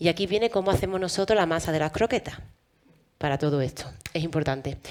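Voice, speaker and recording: Here a woman with an Andalusian accent speaks at a fairly low pitch. Her pace is very fast, with ordinary pitch variation. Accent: Andalusian Spanish, noticeable. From Andalusia, Spain. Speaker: physician and health procurement administrator. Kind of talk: panel discussion.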